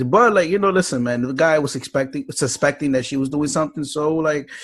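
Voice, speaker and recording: A man with a New York accent talks at a very fast pace with hardly any pauses. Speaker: podcast host. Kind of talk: casual chat.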